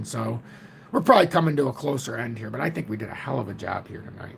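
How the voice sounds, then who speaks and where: A put-on character voice from a man, hoarse and raspy at a medium pitch, delivered at a very fast pace over light background noise. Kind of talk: casual.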